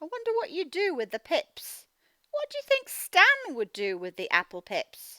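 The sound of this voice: A woman speaks at an extremely high pitch with very wide pitch swings and a bright, sharp tone. Her pace is moderate, and the sound is dry and close with no echo.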